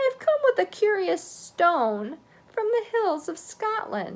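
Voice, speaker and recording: Squeaky and at an extremely high pitch, a put-on character voice unfolds at a fairly slow pace. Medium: read story.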